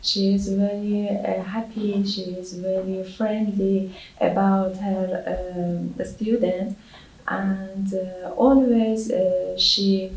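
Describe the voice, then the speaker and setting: In a non-native accent, a woman talks at a very slow pace with medium pitch and flat, monotone intonation. The room has audible echo and noticeable background noise. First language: not English. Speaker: English language exam candidate. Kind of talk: spoken language exam. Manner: halting, many hesitations.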